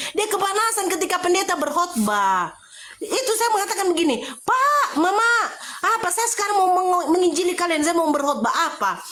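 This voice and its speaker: An animated, bright and sharp voice moves at a fairly quick pace with lively intonation and very even loudness amid audible room echo. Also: woman, extremely high pitch for a woman. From Batak, North Sumatra (Medan). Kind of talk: heated religious debate. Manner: fast.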